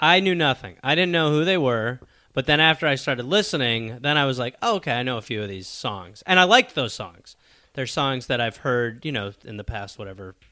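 A man talks at a fairly quick pace in an American accent. He has an ordinary speaking voice at medium pitch with lively intonation. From Milwaukee, Wisconsin. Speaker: comedy writer. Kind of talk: casual chat.

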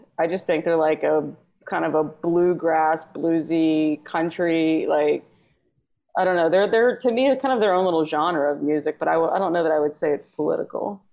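A woman with an American accent uses an ordinary speaking voice, fairly low in pitch, at a moderate pace. Her loudness stays very even, and her pitch varies in an ordinary way. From Texas, near Houston. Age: 40s. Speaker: comedian. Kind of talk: casual chat.

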